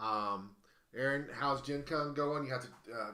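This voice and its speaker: Amid audible room echo, a man with a fairly high pitch and a bright, sharp tone speaks at a fairly slow pace. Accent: Southern US. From US South. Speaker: live-stream host and auctioneer. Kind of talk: casual live-stream chat. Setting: live stream from a game cafe. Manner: halting, many fillers and restarts.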